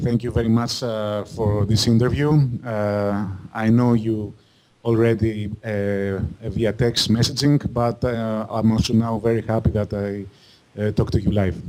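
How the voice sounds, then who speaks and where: In a Greek accent, a man with a medium pitch and a dark, mellow tone speaks at a fairly slow pace in a flat monotone. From Greece. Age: 30s. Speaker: game modder. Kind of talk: interview. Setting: remote call. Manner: halting.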